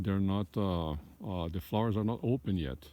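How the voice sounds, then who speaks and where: Speaking fairly slowly with a Brazilian accent, a man has a fairly low pitch, ordinary pitch variation and a dark, mellow tone. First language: Portuguese. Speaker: hobby beekeeper. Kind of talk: casual video tour. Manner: halting, many fillers.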